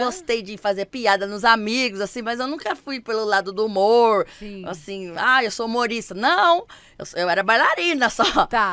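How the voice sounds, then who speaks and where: A woman projects a raised voice with a bright, sharp tone. The background behind her is quiet. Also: dry sound with no echo. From Campinas, interior of São Paulo; São Paulo state, Brazil. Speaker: dancer and TV stage assistant; podcast guest. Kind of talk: casual chat. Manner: animated. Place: studio. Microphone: studio mic.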